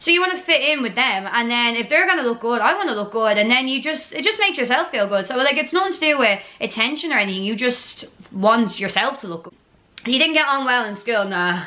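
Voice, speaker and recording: A woman's high-pitched, animated voice in a strong Dublin accent, very fast, with very wide pitch swings and noticeable background noise. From Ireland, Dublin. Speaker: YouTuber. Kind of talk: casual Q&A chat.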